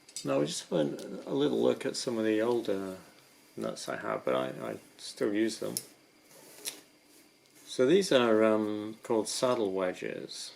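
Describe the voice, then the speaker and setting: Soft-spoken and fairly low-pitched, this man talks at a fairly slow pace with very wide pitch swings and long, frequent pauses. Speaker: rock climber. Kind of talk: ASMR gear description.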